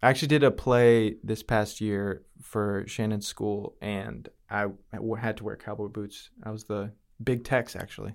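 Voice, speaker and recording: A man with an American accent speaks in an ordinary speaking voice, fairly low in pitch, at a fairly slow pace. His intonation stays fairly even while his loudness swings widely, on a very clean recording with a silent background. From Connecticut, New Britain. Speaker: graphic designer. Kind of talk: casual interview chat.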